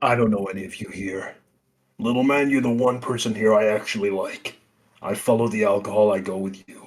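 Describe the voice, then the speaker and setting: A man puts on a raspy character voice at a medium pitch, talking fairly quickly with fairly even intonation and big swings in loudness. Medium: actual play. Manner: gruff, crude.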